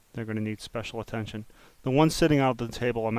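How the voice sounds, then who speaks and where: Medium-pitched male speech at a fairly quick pace. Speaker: 3D modeling tutorial creator. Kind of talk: tutorial. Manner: uneven volume, sometimes soft; muttering.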